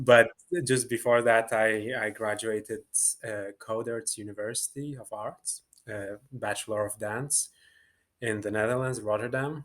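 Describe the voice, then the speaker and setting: In a Lithuanian accent, a man speaks at a fairly slow pace with a fairly low pitch. His intonation stays fairly even in a very clean recording with a silent background. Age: 20s. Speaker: dancer and choreographer. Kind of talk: interview. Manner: hesitant, many fillers.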